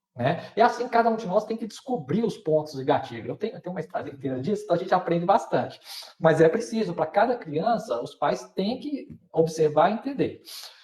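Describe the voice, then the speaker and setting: A man's high-pitched voice at a fairly quick pace with very wide pitch swings, over noticeable background noise. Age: 50s. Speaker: person with epilepsy, patient advocate. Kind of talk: live panel discussion. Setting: online live stream. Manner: hesitant, many fillers.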